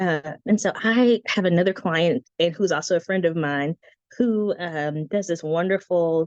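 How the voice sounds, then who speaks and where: A woman with an unremarkable speaking voice talks at a moderate pace with a fairly low pitch and ordinary pitch variation, in a dry, close sound with no echo. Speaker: branding consultant and guest teacher. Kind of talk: online presentation. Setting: live video stream. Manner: casual, with frequent fillers.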